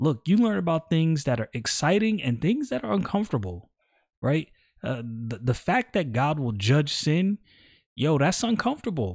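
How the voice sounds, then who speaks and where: In a very clean recording with a silent background, a man with an American accent speaks at a moderate pace in a fairly high, somewhat breathy voice with very wide pitch swings. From New York City (Brooklyn). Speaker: Bible teacher podcaster. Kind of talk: casual Bible study talk. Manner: conversational with slang.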